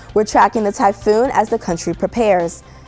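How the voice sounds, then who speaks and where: With music in the background, a woman talks at a fairly quick pace with lively intonation. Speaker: television news anchor. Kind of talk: TV news anchor read.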